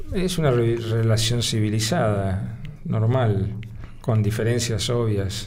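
A man with a Rioplatense accent talks at a very slow pace, his medium pitch showing ordinary variation. Audible room echo and noticeable background noise fill the recording. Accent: Argentine Rioplatense Spanish. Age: 70s. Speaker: lawyer and former politician. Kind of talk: interview conversation. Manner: halting, many fillers; measured, formal.

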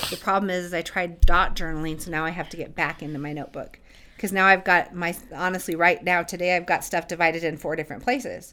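Talking at a very fast pace, a woman with a fairly low pitch keeps a fairly even intonation while her loudness swings widely. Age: 40s. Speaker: coaching business owner. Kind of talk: interview.

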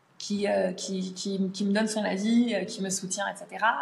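The voice is somewhat breathy, with fairly even intonation at a fairly slow pace. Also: woman. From France. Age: 30s. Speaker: language teacher. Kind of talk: casual interview. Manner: hesitant, many fillers.

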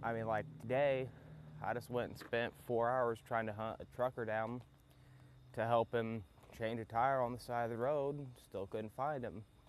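A man with a Southern US accent, medium pitch and fairly even intonation, at a moderate pace with long, frequent pauses. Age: young. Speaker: podcast host, mechanic. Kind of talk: casual monologue. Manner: laid-back, hesitant with fillers.

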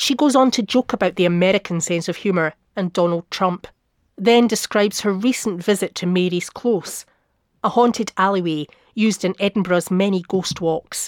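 An unremarkable speaking voice from a woman, medium pitch, moderate pace, ordinary pitch variation. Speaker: author narrating visits to medium events. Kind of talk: scripted narration, reading aloud a travelogue.

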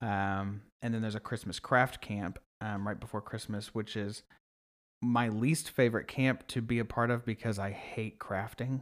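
With an American accent, a plain, everyday voice moves at a moderate pace with fairly even intonation on a very clean recording with a silent background. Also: man, medium pitch for a man. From Oklahoma, US. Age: 20s. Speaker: nonprofit camp marketing director. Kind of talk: casual interview.

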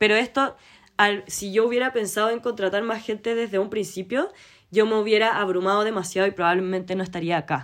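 A woman speaks in a Chilean accent at a fairly quick pace, with medium pitch and ordinary pitch variation. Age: 20s. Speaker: podcast host and knitting entrepreneur. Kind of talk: solo casual monologue.

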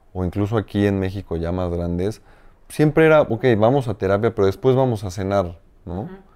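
A man speaks at a moderate pace in a fairly low pitch. His tone is dark and mellow, with ordinary pitch variation. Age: 30s. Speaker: business coach and administrator. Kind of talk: conversational interview. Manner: halting, many repetitions.

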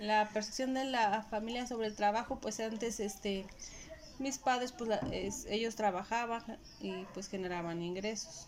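Her fairly high pitch shows ordinary variation as the woman speaks at a fairly slow pace. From Mexico, Puebla. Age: 30s. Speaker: homemaker. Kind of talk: interview. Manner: halting.

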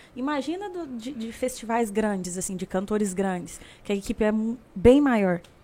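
Speaking at a moderate pace, a woman uses a fairly high pitch and lively intonation with big swings in loudness. Noticeable background noise is present. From Brazil, Uberlândia, Minas Gerais. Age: 20s. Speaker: singer. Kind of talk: casual chat.

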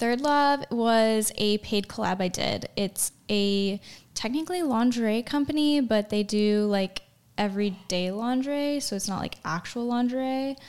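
A woman with a fairly high pitch speaks at a fairly slow pace. She has an unremarkable speaking voice with ordinary pitch variation. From Chicago, US Midwest. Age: 20s. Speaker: pre-med student and model. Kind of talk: casual interview.

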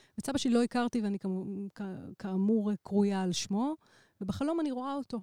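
A woman speaks at a fairly high pitch and a fairly quick pace with a dark, mellow tone. The sound is dry and close, without echo. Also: ordinary pitch variation. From Israel. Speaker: electronic musician. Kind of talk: casual chat.

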